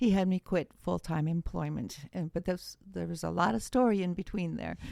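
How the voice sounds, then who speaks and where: A woman speaks at a moderate pace with an American accent, her voice dry and close with no echo on a very clean recording against a silent background. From Wisconsin, US Midwest. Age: 60s. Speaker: author and former attorney. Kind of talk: podcast interview, personal testimony.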